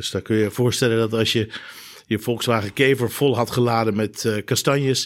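A man speaks at a medium pitch in a flat monotone. The recording is very clean, with a silent background. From Netherlands (Rijnsburg, South Holland), moved from Germany at ten. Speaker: trauma surgeon. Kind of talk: expert discussion.

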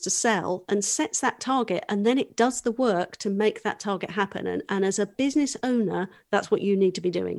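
A woman talks with lively intonation in an ordinary speaking voice. Her pitch is fairly high, and she moves at a fairly quick pace with hardly any pauses. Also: very clean recording, silent background. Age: 40s. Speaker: business coach. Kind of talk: casual chat.

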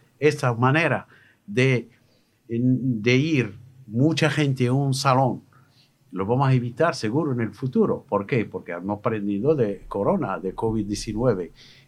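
Against a quiet background, a man with a Moroccan accent speaks at a fairly slow pace, at medium pitch with ordinary pitch variation. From Morocco. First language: Moroccan Arabic (speaking Spanish). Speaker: radio host. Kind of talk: radio interview. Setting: studio. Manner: halting.

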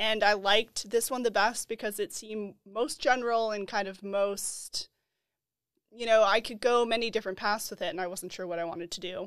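A woman with an American accent has an unremarkable speaking voice at a fairly high pitch. Her intonation stays fairly even while her loudness swings a lot. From Colorado, US. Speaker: program graduate guest.

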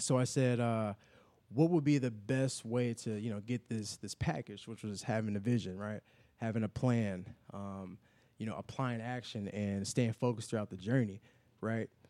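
A man with an American accent and a dark, mellow tone talks at a moderate pace and a medium pitch with fairly even intonation, in a dry, close sound with no echo. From Chicago, South Side. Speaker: clothing brand owner. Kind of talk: casual interview.

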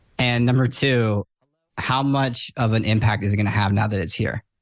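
At a moderate pace, a man talks at medium pitch in an unremarkable speaking voice. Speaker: podcast host. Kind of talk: casual interview chat.

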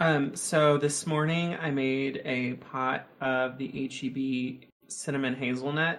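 Monotone, flat intonation marks this man's very slow delivery. He has an American accent and a fairly high pitch. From Texas. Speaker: podcast co-host, game player. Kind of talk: casual chat.

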